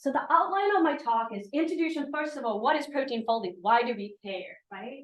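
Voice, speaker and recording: A woman speaks at a fairly quick pace with a slight Swedish accent. Her intonation is lively. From Sweden. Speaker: professor. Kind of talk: lecture. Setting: seminar with audience.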